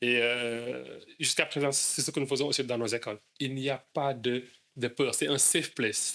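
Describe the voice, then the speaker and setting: Speaking at a moderate pace, a man with a medium pitch and a bright, sharp tone keeps a monotone, flat intonation. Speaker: English school founder. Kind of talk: interview. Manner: stammering.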